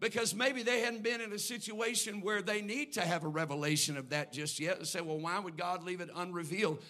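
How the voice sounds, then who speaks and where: With hardly any pauses, a man with a high pitch speaks at a fairly quick pace in a raised, projected voice and lively intonation, amid audible room echo and noticeable background noise. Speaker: pastor. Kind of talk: sermon. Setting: church. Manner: measured, not hollering.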